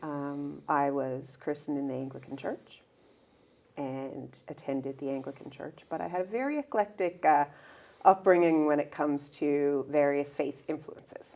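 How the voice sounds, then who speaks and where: A woman speaks with a Newfoundland accent. Her voice is very deep and low, with a dark, mellow tone. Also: fairly even intonation, moderate pace. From Newfoundland, St. John's. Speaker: speech language pathologist. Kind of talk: interview conversation.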